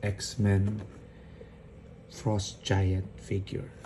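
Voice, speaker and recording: The speaker is quiet. Noticeable background noise runs underneath. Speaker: toy collector YouTuber. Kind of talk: casual unboxing vlog. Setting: at home at night. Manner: hushed, quiet voice.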